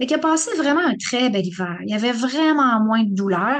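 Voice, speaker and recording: Speaking in a Quebec accent, a woman uses a high pitch, lively intonation and an animated tone. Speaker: rheumatologist giving a talk. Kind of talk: public lecture. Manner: animated, conversational.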